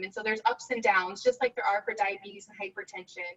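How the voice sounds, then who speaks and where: In a dry, close sound with no echo, a woman speaks in a raised, projected voice. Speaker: physician and addiction researcher. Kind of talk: lecture. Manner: fast.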